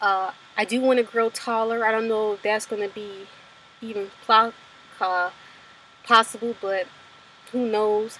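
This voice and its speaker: Pitched fairly high for a woman, her voice moves at a fairly slow pace with monotone, flat intonation. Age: 20s. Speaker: student and personal trainer vlogging about gender transition. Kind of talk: casual personal video diary.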